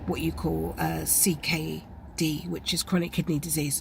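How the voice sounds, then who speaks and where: Delivered with a British accent, the speech moves at a moderate pace. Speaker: vlogger with chronic illness. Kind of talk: personal health vlog.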